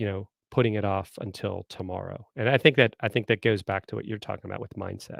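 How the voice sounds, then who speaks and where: A man with a slight Southern US accent, fairly low in pitch, at a very fast pace with fairly even intonation and big swings in loudness. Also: hardly any pauses. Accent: slight southern American. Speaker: marketing consultant and former marine. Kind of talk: live stream interview. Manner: hesitant fillers.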